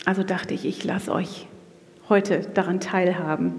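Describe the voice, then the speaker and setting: A woman speaks at a moderate pace while noticeable background noise runs behind her. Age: 40s. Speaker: women's ministry speaker, pastor's wife. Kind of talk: sermon-style talk at church women's event.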